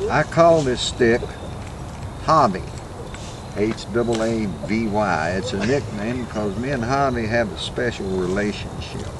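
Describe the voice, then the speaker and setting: With long, frequent pauses and a fairly slow pace, a man at medium pitch speaks with ordinary pitch variation amid noticeable background noise and audible room echo. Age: 70s. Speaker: wood carver. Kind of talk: interview.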